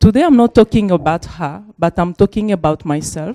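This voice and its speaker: A woman with a Congolese accent speaks at a moderate pace in a dark, mellow tone with ordinary pitch variation. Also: dry, close sound with no echo. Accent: French-speaking Congolese. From DR Congo. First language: French. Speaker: refugee activist, panelist. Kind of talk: panel talk, personal testimony. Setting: university panel with audience. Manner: halting.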